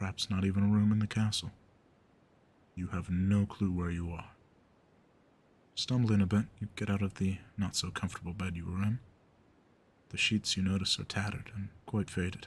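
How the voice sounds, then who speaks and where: A man speaks in a somewhat breathy voice at a fairly low pitch and moderate pace, with monotone, flat intonation and long, frequent pauses. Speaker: ASMR roleplay performer. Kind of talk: second-person scene-setting narration.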